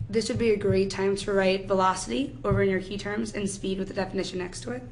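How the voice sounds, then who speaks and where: A woman with an American accent at medium pitch, very fast and with lively intonation, amid noticeable background noise and audible room echo. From New York. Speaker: high school chemistry teacher. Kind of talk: lecture. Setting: classroom.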